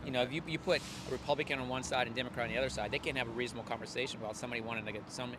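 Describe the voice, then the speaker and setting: Through noticeable background noise, a man talks at a very fast pace with a medium pitch. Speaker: passerby interviewee. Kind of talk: street interview. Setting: outdoors on the street. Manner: opinionated, repetitive stammering.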